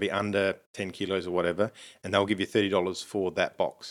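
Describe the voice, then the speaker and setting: On a very clean recording with a silent background, a man with an Australian accent speaks at a fairly low pitch in a flat, monotone way. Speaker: podcast co-host. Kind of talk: casual chat. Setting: home recording.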